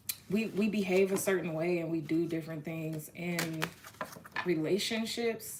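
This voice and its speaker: Noticeable background noise sits behind a woman speaking at a moderate pace with a fairly low pitch. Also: fairly even intonation. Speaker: tarot reader. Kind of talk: live-stream tarot reading. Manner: casual, halting with restarts.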